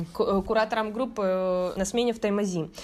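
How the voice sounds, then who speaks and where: In a plain, everyday voice, a woman speaks at a fairly slow pace and fairly high pitch on a very clean recording with a silent background. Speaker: university student mentor coordinator. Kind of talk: casual interview.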